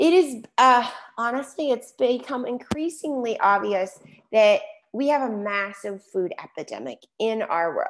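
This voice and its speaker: Her pitch is fairly high, and she speaks with an American accent. The woman's intonation is lively. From Chicago. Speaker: health coach. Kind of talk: webinar presentation. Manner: fast.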